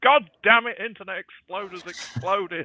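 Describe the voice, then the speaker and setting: A man's strained, high-pitched put-on character voice at a moderate pace. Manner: frustrated, exasperated.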